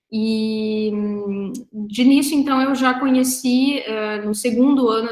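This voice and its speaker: A woman's fairly high voice keeps a fairly even intonation. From southern Brazil, Rio Grande do Sul (Três Passos, Porto Alegre). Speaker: researcher and professor. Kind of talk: online talk about academic career. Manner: hesitant with fillers.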